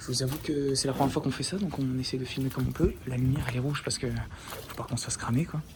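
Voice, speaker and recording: Soft-spoken and very fast, a man talks at medium pitch with fairly even intonation over noticeable background noise. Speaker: urban explorer vlogger. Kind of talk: live vlog narration. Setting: outdoors at night, abandoned site. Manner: hesitant.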